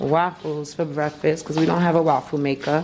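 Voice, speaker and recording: Noticeable background noise is present. A woman speaks at a moderate pace. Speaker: vlogger. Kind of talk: casual vlog chat. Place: kitchen. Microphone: phone near.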